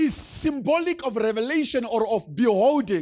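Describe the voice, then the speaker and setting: A man speaks in an animated tone at a fairly slow pace, with very wide pitch swings. The recording is very clean, with a silent background. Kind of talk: sermon. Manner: animated, emphatic preaching with repetition and call-and-response; teaching-style, explaining step by step.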